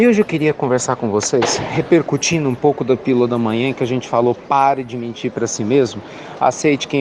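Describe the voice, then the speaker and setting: A man speaks at a fairly quick pace and a medium pitch. Noticeable background noise can be heard. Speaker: spiritist speaker. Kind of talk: spiritual reflection talk. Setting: bookstore. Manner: soft-spoken; warm.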